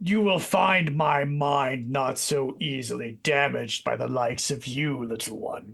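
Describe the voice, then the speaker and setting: At a moderate pace, a man puts on a raspy character voice pitched fairly high. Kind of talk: haughty and archaic. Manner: mocking, contemptuous.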